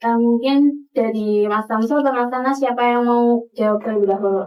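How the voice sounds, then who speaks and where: Woman's fairly high voice at a moderate pace, with very even loudness and fairly even intonation. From Tegal, Central Java. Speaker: student podcast host. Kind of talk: podcast interview. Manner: casual, hesitant with fillers.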